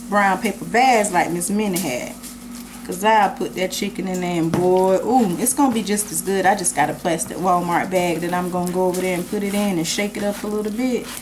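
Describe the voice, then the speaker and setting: A woman with a Southern US accent speaks at a fairly quick pace. Noticeable background noise and audible room echo fill the recording. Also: medium pitch for a woman, ordinary pitch variation. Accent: Southern US, country. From US South. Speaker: home cook. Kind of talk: cooking tutorial. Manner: casual, chatty.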